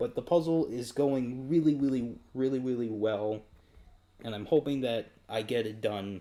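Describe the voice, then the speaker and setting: A man with an American accent speaks at a fairly slow pace in a dark, mellow tone, at a medium pitch with ordinary pitch variation. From United States. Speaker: video game live streamer. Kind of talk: live stream casual chat.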